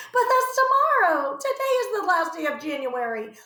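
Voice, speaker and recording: A woman's put-on character voice, squeaky and extremely high, with very wide pitch swings, a moderate pace and a slight echo. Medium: read story. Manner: warm, calm.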